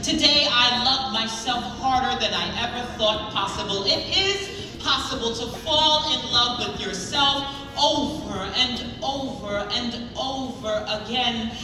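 Clear music and audible room echo surround this recording of a woman. She speaks very slowly in a high pitch. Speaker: poet performing on stage. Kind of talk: spoken word poetry performance. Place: hall. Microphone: pa.

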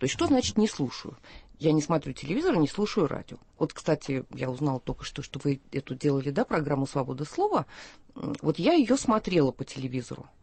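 A woman with a very deep, low pitch talks at a fairly quick pace, somewhat breathy, with lively intonation. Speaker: poet. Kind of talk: radio talk show. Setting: studio.

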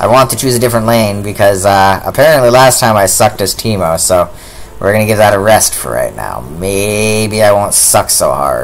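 This man has an ordinary speaking voice, fairly low in pitch, with ordinary pitch variation. He speaks at a moderate pace over light background noise. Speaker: gaming streamer. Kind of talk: casual gameplay commentary. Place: home room.

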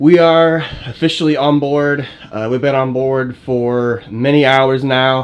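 A man at a fairly slow pace, with little pitch movement.

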